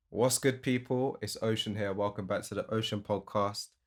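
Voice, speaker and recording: A man with a British accent and a fairly low pitch speaks at a moderate pace. His intonation is fairly even, on a very clean recording with a silent background. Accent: UK. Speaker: music producer, podcast host. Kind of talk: casual chat.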